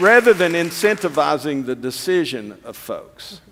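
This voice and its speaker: The speaker talks in an East Tennessee accent. The recording is very clean, with a silent background. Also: man. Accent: East Tennessee Southern US. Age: old. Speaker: political candidate. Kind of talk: political forum speech. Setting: stage with audience.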